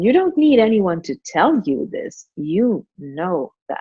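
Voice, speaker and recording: Very wide pitch swings mark a woman's fairly high voice, spoken with a non-native accent. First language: not English. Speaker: spiritual author and teacher. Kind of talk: podcast interview.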